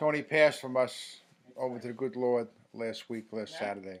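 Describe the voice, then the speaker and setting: With a New York accent, a man talks at a moderate pace and ordinary pitch variation. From New York City, Queens. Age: 60s. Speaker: eulogist, brother of the deceased. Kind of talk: eulogy.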